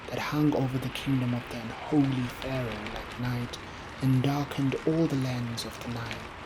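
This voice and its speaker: The tone is calm and soothing, at a moderate pace. Background noise is noticeable. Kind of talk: sleep story poetry reading. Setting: rain sounds in background. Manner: calm, soothing.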